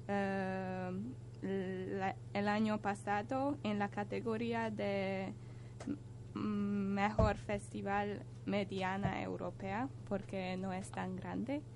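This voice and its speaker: A woman speaks with a very deep, low voice and lively intonation. She goes at a very slow pace. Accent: Hungarian. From Hungary. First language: Hungarian (speaking Spanish). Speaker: European volunteer, radio contributor. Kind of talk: casual radio chat.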